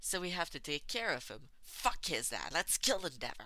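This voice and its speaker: A put-on character voice growls at a middle pitch. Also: moderate pace. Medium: read story. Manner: blunt, crude.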